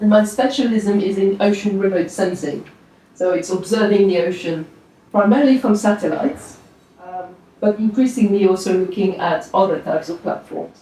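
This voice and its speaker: A woman with a slight French accent talks at a moderate pace and a medium pitch, with ordinary pitch variation. Noticeable background noise sits behind her. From France. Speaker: oceanography professor. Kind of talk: presentation to an audience. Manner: relaxed, with frequent fillers.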